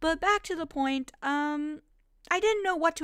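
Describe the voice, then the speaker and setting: The voice is animated, bright and sharp, with very wide pitch swings at a fairly quick pace. The sound is dry and close, with no echo. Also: woman. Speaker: YouTuber. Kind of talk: vlog monologue.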